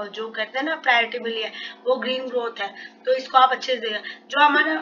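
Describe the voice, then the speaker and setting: Speaking at a moderate pace, a woman with a fairly high pitch keeps her intonation fairly even against noticeable background noise. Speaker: exam prep tutor. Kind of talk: educational lecture, Hindi-English mix.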